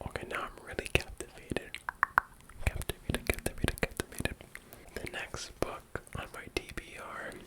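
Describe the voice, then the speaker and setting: A man whispers. Background noise is noticeable. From Ontario, Canada. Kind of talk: ASMR book haul video, whispered talk to camera. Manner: whispering, soft-spoken, relaxing.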